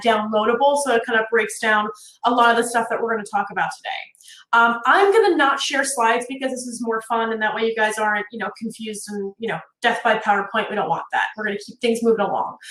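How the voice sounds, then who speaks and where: At a fairly quick pace, a woman with an American accent talks in a fairly high voice with ordinary pitch variation, with noticeable background noise behind her. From North Jersey, US. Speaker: networking consultant, workshop presenter. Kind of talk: virtual workshop presentation. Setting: live virtual conference. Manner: fast; animated.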